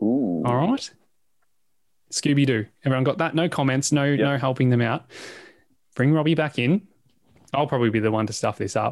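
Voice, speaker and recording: Long, frequent pauses break up a man's fairly quick speech. His medium-pitched voice holds a very even loudness. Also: ordinary pitch variation. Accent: Australian. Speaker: podcast host. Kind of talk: casual chat. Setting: video call. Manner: animated.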